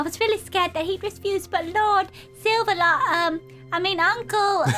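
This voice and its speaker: Clear music plays behind a woman doing a squeaky, put-on character voice at an extremely high pitch, speaking at a moderate pace with fairly even intonation. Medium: game stream.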